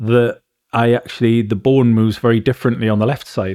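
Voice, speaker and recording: A man with an English accent talks at a fairly quick pace with a medium pitch and fairly even intonation. The recording is very clean, with a silent background. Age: 40s. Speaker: tinnitus patient and forum co-founder. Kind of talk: casual chat.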